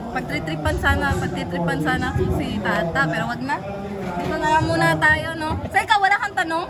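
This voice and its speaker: The speech moves at a fairly quick pace. Audible room echo and crowd noise sit in the background. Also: woman. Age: 30s. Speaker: vlogger interviewer. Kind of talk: casual interview chat.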